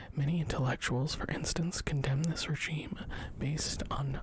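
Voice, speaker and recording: Whispered words come through noticeable background noise. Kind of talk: ASMR book reading. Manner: soft-spoken, whispery.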